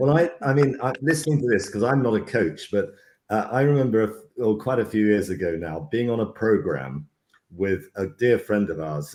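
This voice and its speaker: At a moderate pace, a man with an unremarkable speaking voice talks in a fairly low pitch with lively intonation. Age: 60s. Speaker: leadership program host. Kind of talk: casual chat.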